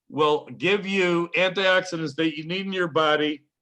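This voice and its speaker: A high-pitched man's voice with a bright, sharp tone, fairly slow pace and ordinary pitch variation, over a quiet background. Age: 70s. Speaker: health products presenter. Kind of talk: online meeting presentation. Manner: animated.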